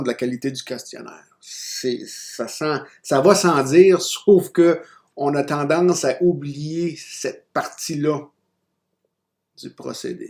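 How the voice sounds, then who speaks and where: Loudness swings widely while the intonation stays fairly even. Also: man. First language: not French (speaking French). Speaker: university lecturer. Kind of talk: recorded lecture. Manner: hesitant, many fillers and restarts.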